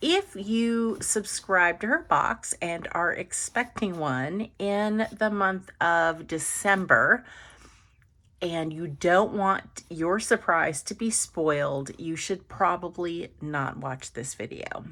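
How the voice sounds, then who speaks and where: Speaking at a very slow pace, a woman uses lively intonation in a fairly low pitch with a bright, sharp tone. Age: 50s. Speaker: budgeting vlogger. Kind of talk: unboxing video. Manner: animated.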